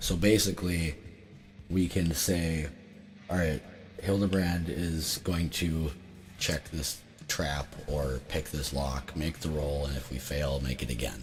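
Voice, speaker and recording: Music plays behind a man speaking at a very slow pace. His pitch is very deep and low, with long, frequent pauses. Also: ordinary pitch variation. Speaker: tabletop game streamer. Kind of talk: solo game playthrough and rules explanation. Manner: casual, hesitant with many fillers.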